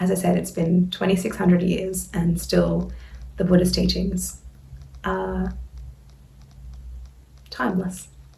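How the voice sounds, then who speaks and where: A woman with an Australian accent, at a fairly slow pace with long, frequent pauses. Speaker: Buddhist dharma teacher. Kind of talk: casual talk to camera.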